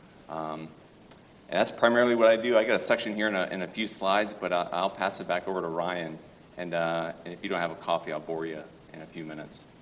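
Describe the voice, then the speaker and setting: A man with a very deep, low voice and an American accent talks at a very fast pace with ordinary pitch variation and big swings in loudness. Noticeable background noise and audible room echo fill the recording. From Central Florida. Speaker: derivatives trader. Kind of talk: conference presentation.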